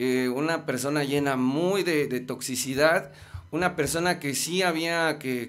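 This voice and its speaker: The man has a fairly high pitch and fairly even intonation. He talks at a fairly slow pace. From Mexico City. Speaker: musician and life coach; life coach. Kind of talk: casual chat. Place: studio. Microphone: studio mic.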